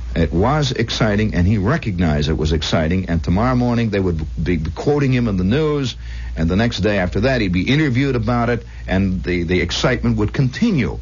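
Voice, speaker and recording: A man with an American accent and a very deep, low pitch talks at a fairly quick pace, his pitch swinging very widely while his loudness stays very even, against noticeable background noise. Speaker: radio host. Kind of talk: late-night radio monologue. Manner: conversational, storytelling.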